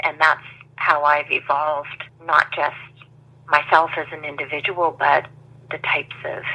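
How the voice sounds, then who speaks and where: A woman with a Maritime Canadian accent speaks fairly slowly in a very deep, low voice with a bright, sharp tone. Her intonation is monotone and flat. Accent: Canadian (Maritimes). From New Brunswick, Canada (Saint John). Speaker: sales trainer and business owner. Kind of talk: interview.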